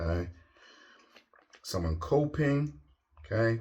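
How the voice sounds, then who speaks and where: A man with a dark, mellow tone and a somewhat breathy voice talks at a fairly slow pace with lively intonation. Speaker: tarot reader. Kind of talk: tarot reading.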